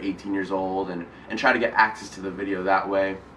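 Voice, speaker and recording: A man talks at a fairly quick pace with fairly low pitch. Noticeable background noise is present. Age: young. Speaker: YouTuber. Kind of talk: casual talk to camera. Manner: hesitant, filler-heavy.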